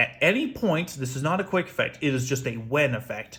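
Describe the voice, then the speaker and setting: Loud and bright with a sharp tone, a man's voice swings very widely in pitch. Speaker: YouTuber card game deck reviewer. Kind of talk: deck showcase tutorial. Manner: projected, loud; audible gasps for air between phrases.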